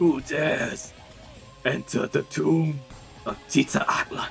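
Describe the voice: Over clear background music, a man uses a raspy, put-on character voice with a fairly high pitch, moving at a fairly slow pace.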